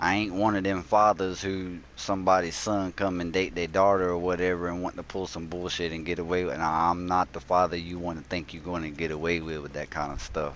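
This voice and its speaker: In a quiet background, a man with a strong Southern US accent talks at a fairly quick pace with hardly any pauses, his very deep, low voice keeping a monotone, flat intonation. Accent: strong Southern country. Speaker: gaming streamer. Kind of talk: casual live-stream chat. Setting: live stream.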